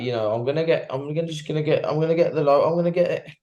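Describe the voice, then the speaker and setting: There is audible room echo as a man speaks very fast in a dark, mellow tone. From West Midlands, England (Wolverhampton). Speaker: professional boxer. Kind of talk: casual interview. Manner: animated, halting with many fillers and repeats.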